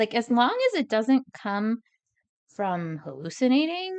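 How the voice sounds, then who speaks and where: A woman speaks loudly. Her pitch is fairly high. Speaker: podcast co-host. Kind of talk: casual chat.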